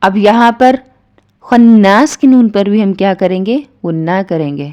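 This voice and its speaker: A woman's medium-pitched voice with a dark, mellow tone and lively intonation. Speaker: Quran tajweed teacher. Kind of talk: tajweed lesson explanation.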